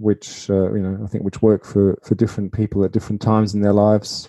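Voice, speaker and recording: The voice has a dark, mellow tone and an Australian accent, recorded with a dry, close sound with no echo. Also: man. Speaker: podcast host. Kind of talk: interview. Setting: remote call.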